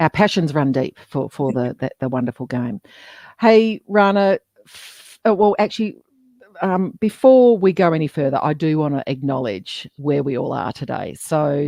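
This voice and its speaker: In an Australian accent, a woman with a very deep, low pitch and a dark, mellow tone speaks at a moderate pace with very wide pitch swings and big swings in loudness, in a dry, close sound with no echo. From Western Australia (Geraldton). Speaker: podcast co-host. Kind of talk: live interview. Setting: LinkedIn live stream.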